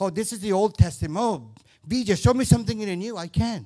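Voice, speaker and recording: The speaker is a man. He talks in an animated tone. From Indian-Puerto Rican background. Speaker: guest preacher. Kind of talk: sermon. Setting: church.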